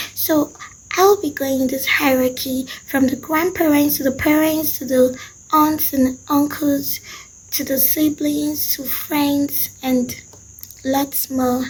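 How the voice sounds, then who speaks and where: With noticeable background noise behind her, a woman speaks at a very slow pace. Her pitch is high and her intonation fairly even. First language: Nupe. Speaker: language and culture teacher. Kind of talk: tutorial.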